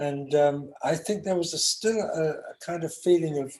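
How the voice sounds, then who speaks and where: A man with a London accent, high in pitch, at a fairly slow pace with ordinary pitch variation. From London, England. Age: 60s. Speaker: session guitarist. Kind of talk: interview.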